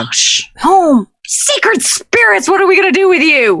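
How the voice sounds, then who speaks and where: In a put-on character voice with extremely high pitch, someone speaks at a moderate pace. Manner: scolding.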